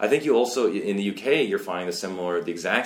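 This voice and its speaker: A man with a Canadian accent speaks against noticeable background noise. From West Coast of Canada. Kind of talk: interview.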